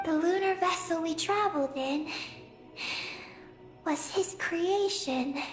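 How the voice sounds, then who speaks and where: In a put-on character voice at an extremely high pitch, the speaker leaves long, frequent pauses while clear music plays in the background. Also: fairly slow pace. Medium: video game. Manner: calm, precise, matter-of-fact.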